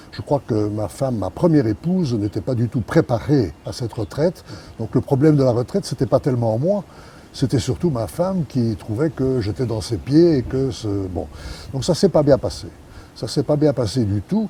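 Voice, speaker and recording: At a moderate pace, a man talks at a medium pitch with very wide pitch swings. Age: 80s+. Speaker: retired businessman. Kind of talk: interview. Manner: hesitant, many fillers.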